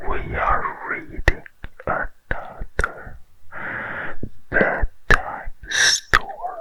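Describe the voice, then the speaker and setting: Very slow whispering with long, frequent pauses, against noticeable background noise. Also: man. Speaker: ASMR storyteller. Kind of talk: casual intro to listeners. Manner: whispered.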